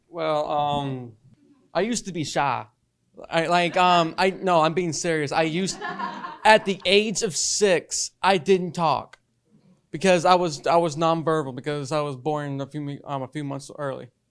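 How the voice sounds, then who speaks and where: Over music in the background, a man speaks at a fairly slow pace with ordinary pitch variation. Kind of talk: panel discussion. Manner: halting.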